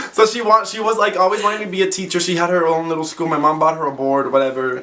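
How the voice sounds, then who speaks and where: A man with a Spanish accent talks at a very fast pace in an animated tone, his high voice showing ordinary pitch variation amid audible room echo and noticeable background noise. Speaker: YouTuber. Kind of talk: casual chat.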